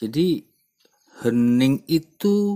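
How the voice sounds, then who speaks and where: A man's fairly high voice carries a dark, mellow tone and lively intonation. The sound is dry and close, with no echo. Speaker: podcast host. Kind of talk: reflective monologue. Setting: outdoors behind his village house at night.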